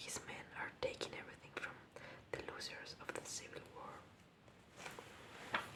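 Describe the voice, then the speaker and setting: A very slow whisper against noticeable background noise. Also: woman. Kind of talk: ASMR bedtime story reading. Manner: soft, whispered.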